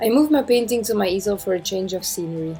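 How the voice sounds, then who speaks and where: A woman at a medium pitch with ordinary pitch variation, talking at a very fast pace over music in the background. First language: not English. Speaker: amateur oil painter. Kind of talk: painting tutorial voiceover.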